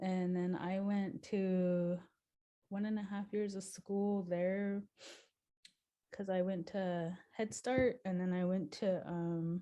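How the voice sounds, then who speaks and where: Very slow, monotone speech from a woman in a slight Crow accent, medium in pitch, with a dark, mellow tone and flat intonation. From Montana, Flathead Reservation. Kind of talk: interview. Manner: hesitant, many fillers.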